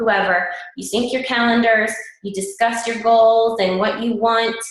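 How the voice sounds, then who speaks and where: At a moderate pace, a woman speaks with audible room echo around her. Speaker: fitness coach team leader. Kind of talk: team call presentation.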